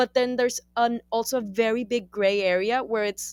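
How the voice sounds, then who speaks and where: A woman with a Spanish accent at a moderate pace, fairly high in pitch with fairly even intonation, in a dry, close sound with no echo. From Colombia. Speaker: writer and actress. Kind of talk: interview. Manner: halting.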